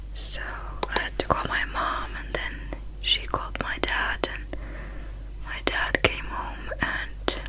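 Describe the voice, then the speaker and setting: A woman speaks at a very slow pace against noticeable background noise. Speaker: beauty vlogger. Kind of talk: casual vlog chat. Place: home room. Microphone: phone near.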